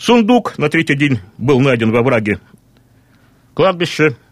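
A man speaking at a very slow pace. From Russian Far East, Vladivostok. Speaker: regional historian. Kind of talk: radio interview. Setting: studio.

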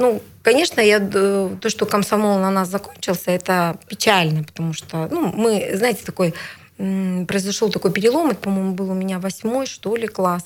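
Speaking at a moderate pace, a woman uses an ordinary speaking voice at medium pitch with ordinary pitch variation. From Siberia, Bratsk (Irkutsk region). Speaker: regional legislator. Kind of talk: interview. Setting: studio.

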